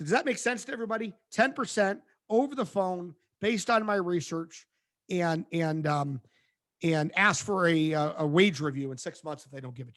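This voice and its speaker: A man speaks with lively intonation at a high pitch, his loudness swinging widely. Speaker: career coach and recruiter. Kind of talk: webinar presentation. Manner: fast.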